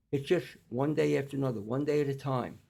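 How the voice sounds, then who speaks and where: With a New York accent, a man with a fairly high pitch and a dark, mellow tone speaks at a moderate pace with fairly even intonation. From New York (Staten Island). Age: 80s+. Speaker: clinical nutritionist. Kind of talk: interview conversation. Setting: in-person studio podcast.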